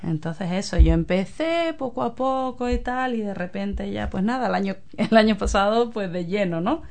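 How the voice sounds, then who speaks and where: A woman at a medium pitch speaks at a moderate pace with lively intonation and hardly any pauses. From Spain, Cádiz (Andalusia). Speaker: community group chair, photographer. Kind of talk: radio interview.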